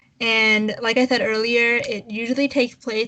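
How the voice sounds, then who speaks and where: Her pitch fairly high, a woman talks with a non-native accent. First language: not English. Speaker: podcast co-host. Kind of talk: casual chat. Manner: halting.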